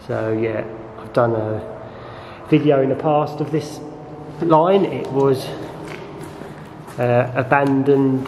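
A man speaks at a very slow pace with long, frequent pauses and big swings in loudness. His pitch varies in an ordinary way, over light background noise. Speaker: vlogger exploring a tunnel. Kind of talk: casual vlog chat. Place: tunnel cave. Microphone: phone near.

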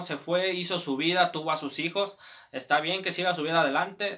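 In a Mexican accent, the voice moves with ordinary pitch variation against a quiet background. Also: man. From Mexico. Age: 20s. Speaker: YouTuber. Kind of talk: personal life story. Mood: reflective, personal. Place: home room.

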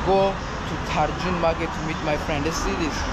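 A man talks at medium speed while heavy background noise fills the clip. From South Africa. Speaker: travel vlogger. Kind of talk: travel vlog narration. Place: station. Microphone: phone near.

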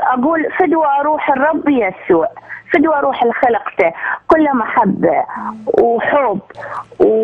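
A woman with an Iraqi accent and a high voice speaks at a fairly slow pace with very wide pitch swings, long, frequent pauses and very even loudness, over noticeable background noise. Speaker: caller, actress. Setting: phone call.

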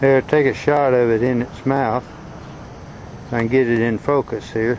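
The background carries light noise, and the sound is dry with no echo. A man speaks in a monotone, flat intonation with a Southern US accent. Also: moderate pace. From Arkansas. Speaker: amateur naturalist. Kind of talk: casual narration over home video. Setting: outdoors. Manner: halting, casual. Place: garden. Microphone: phone near.

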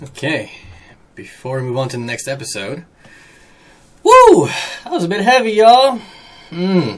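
At a moderate pace, the voice swings very widely in pitch and jumps sharply in loudness. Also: man. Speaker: anime reaction video host. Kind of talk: casual reaction commentary. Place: home room.

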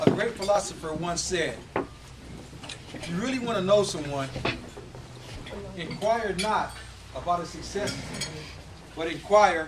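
Over noticeable background noise, a man with a high voice speaks at a fairly slow pace with ordinary pitch variation. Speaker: motivational speaker. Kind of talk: Toastmasters club speech, storytelling. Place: hall. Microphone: camera far.

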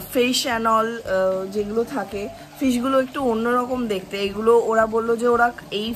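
A woman's voice with fairly even intonation over light background noise. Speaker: travel vlogger. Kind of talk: casual vlog chat. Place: garden. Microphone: phone near.

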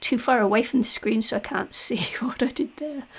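Vocal fry marks this woman's voice. Her pitch variation is ordinary. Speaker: mixed media artist. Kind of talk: tutorial voiceover. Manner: hesitant, many fillers.

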